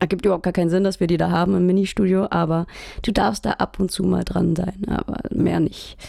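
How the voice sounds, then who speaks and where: A woman's dark, mellow voice with vocal fry, fairly even intonation, very even loudness and a fairly quick pace. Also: fairly low pitch for a woman. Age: 20s. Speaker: music student and band musician. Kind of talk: casual chat.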